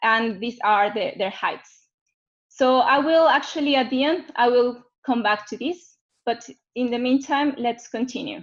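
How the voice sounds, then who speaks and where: This woman has a high voice and a Mexican accent. She speaks fairly slowly, with ordinary pitch variation. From Mexico City. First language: Spanish. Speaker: geophysicist. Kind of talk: webinar presentation. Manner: halting.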